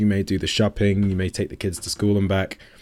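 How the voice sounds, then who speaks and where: Talking at a very fast pace, a man with an English accent has a dark, mellow tone and a fairly low pitch. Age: 20s. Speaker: fitness coach and podcast co-host. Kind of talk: casual chat.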